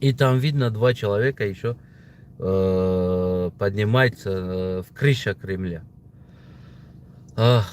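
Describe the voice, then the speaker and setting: A man at a very slow pace with lively intonation. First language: Tajik (speaking Russian). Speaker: political video blogger. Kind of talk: casual opinion monologue. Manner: halting, many fillers.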